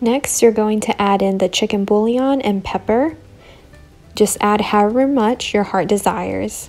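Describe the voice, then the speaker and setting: A woman's voice at a moderate pace, with very even loudness, ordinary pitch variation and faint music in the background. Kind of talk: tutorial. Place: kitchen.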